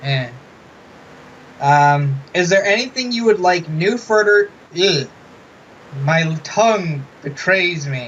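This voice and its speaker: Amid noticeable background noise, a man with high pitch talks at a very slow pace, with long, frequent pauses and lively intonation. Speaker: interviewer. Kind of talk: interview. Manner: mumbling.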